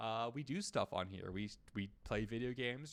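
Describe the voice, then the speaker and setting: Here a man has an ordinary speaking voice at medium pitch, with ordinary pitch variation. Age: 20s. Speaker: streamer. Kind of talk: casual chat; reading aloud. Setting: live stream.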